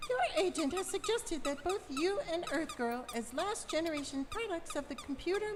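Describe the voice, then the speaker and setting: Against clear background noise, someone performs a put-on character voice at an extremely high pitch. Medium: stage play. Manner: brisk, blunt.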